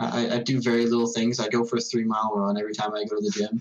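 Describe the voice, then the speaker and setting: A man with an unremarkable speaking voice talks at a fairly quick pace in a medium pitch with fairly even intonation. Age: 20s. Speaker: podcast co-host. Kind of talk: casual chat.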